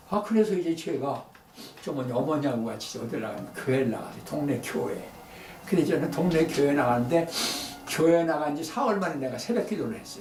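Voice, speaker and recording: A man's voice at a fairly quick pace with very wide pitch swings, audible room echo and noticeable background noise. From Korea, Daejeon area. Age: 80s+. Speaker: photographer. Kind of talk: talk to an audience. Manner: halting.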